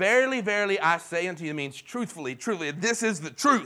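In a raised, projected voice, a man speaks at a high pitch with a bright, sharp tone and very wide pitch swings on a very clean recording with a silent background. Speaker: pastor. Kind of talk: sermon. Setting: church. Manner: fast.

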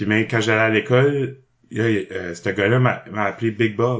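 A man talks at a fairly slow pace with a fairly low pitch and fairly even intonation. It is a plain, everyday voice. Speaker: improv actor. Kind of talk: casual interview.

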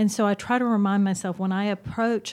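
A woman with a normal speaking voice, medium pitch, fairly even intonation and moderate pace, on a very clean recording with a silent background. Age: 50s. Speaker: church ministry assistant and freelance writer. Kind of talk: casual chat.

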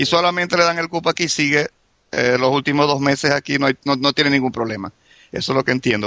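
A man's fairly high voice at a very fast clip, fairly even in intonation, with a dry, close sound and no echo. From Venezuela. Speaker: immigrant guest. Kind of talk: casual chat.

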